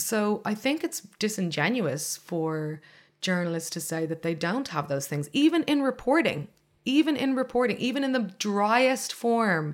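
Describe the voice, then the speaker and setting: In a Dublin accent, a woman talks at a fairly slow pace with a medium pitch and very wide pitch swings, on a very clean recording with a silent background. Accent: Dublin Irish. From Ireland, south Dublin suburbs. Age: young. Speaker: journalist and activist. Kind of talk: interview.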